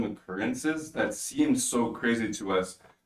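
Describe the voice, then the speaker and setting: At a fairly slow pace, a man with an ordinary speaking voice talks at a medium pitch with ordinary pitch variation. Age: 20s. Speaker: podcast host. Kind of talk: casual chat.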